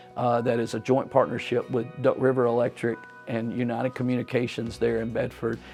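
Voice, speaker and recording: A man with a Southern US accent talks at a fairly quick pace, his medium pitch flat and monotone. Music plays in the background. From US South, Tennessee. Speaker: politician. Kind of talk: interview answer. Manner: halting.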